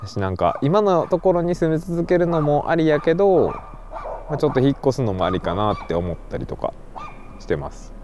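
A man's fairly high voice at a fairly quick pace, with very wide pitch swings, big swings in loudness and noticeable background noise. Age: 30s. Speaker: podcast host. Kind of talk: casual solo monologue. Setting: outdoors in a park at night.

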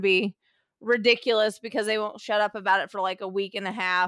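On a very clean recording with a silent background, a woman with an American accent speaks at a medium pitch and fairly quick pace in a monotone, flat intonation. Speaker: podcast host, author. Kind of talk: casual chat.

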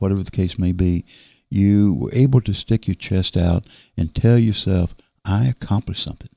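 In a Southern US accent, a man speaks with a fairly low pitch, ordinary pitch variation and a dark, mellow tone, recorded very cleanly against a silent background with a dry, close sound and no echo. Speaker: local distinguished citizen and volunteer. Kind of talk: casual radio interview. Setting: studio.

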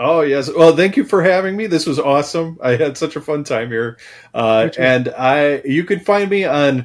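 Speaking at a moderate pace in a normal speaking voice, this man has a fairly high pitch and ordinary pitch variation, on a very clean recording with a silent background. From US Midwest, Chicago suburbs. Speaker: science fantasy author and film previsualization artist. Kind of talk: interview.

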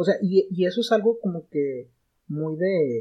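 A man's somewhat breathy voice with a Mexican accent, very slow, with ordinary pitch variation. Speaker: podcast guest, film fan. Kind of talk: casual chat. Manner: halting, many fillers.

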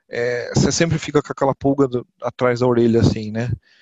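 Medium in pitch, a man has an ordinary speaking voice with ordinary pitch variation. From interior of São Paulo state, Brazil (Botucatu). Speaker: IT professional at a funeral assistance company. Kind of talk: podcast interview.

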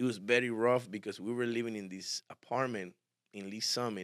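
In a very clean recording with a silent background, a man with a fairly low pitch speaks in a monotone, flat intonation, the sound dry and close with no echo. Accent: Spanish. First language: Spanish. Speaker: barber and barbershop owner. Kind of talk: casual interview.

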